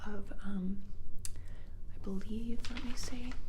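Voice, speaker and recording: A woman whispers, soft-spoken. Noticeable noise sits in the background. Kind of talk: ASMR mythology chat. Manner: soft-spoken, whispery, rambling.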